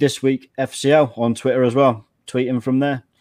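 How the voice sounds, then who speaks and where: A man with an English accent and a fairly high pitch, against a quiet background. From England. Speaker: podcast producer. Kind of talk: casual chat.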